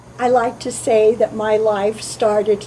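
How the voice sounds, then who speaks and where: Over noticeable background noise, a woman speaks at a fairly slow pace in a monotone, flat intonation. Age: 50s. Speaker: political candidate. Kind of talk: campaign statement.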